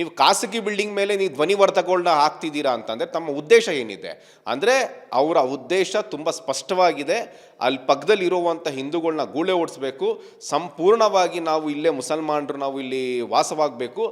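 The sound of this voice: A man speaks at a moderate pace with few pauses. His fairly high voice carries lively intonation.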